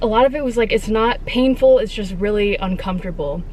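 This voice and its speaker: A woman's voice is heard. Noticeable background noise and audible room echo accompany it. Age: 20s. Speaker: vlogger. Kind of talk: personal vlog monologue. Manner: casual, hesitant with many fillers.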